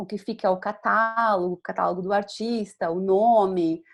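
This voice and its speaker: A woman speaks in an animated tone with ordinary pitch variation. The background is quiet. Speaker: visual artist, curator and art educator teaching a course. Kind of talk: online lecture. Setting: video call. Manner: fast; animated, hesitant fillers.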